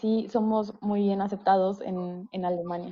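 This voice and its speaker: A woman's medium-pitched voice in a monotone, flat intonation at a fairly slow pace. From Mexico. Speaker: mechanical engineer. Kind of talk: panel discussion. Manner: hesitant.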